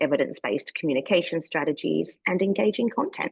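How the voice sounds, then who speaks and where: Over a quiet background, a woman with an Australian accent speaks at a fairly low pitch. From Australia, Melbourne. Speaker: communications strategist. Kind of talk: online workshop presentation.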